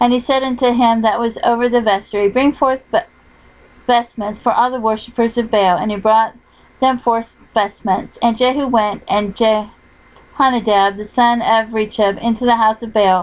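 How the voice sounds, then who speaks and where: A woman's plain, everyday voice, fairly high in pitch, with fairly even intonation at a moderate pace. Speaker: audiobook narrator. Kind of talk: scripture reading.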